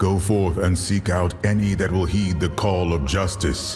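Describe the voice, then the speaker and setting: A man's put-on character voice, very deep and low in pitch, at a moderate pace over clear music in the background. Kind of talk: epic solemn. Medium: machinima.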